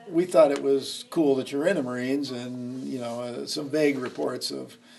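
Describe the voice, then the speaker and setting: Over noticeable background noise, a man speaks with an American accent. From Nebraska, Lincoln. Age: 60s. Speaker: history teacher. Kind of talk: oral history interview. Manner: hesitant, many fillers.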